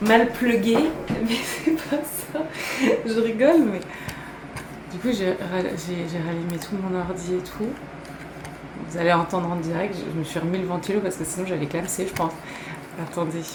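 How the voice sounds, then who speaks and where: The speech has long, frequent pauses, with noticeable background noise and audible room echo. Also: woman, medium pitch for a woman, ordinary pitch variation, moderate pace. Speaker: YouTuber. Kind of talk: casual vlog to camera. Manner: laughing.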